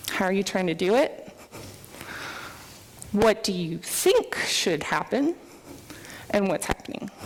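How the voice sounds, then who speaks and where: Over noticeable background noise, a woman speaks at a fairly slow pace with long, frequent pauses. Her medium-pitched voice has lively intonation. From US, military upbringing (moved around). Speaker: software developer, conference speaker. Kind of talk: conference talk. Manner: animated.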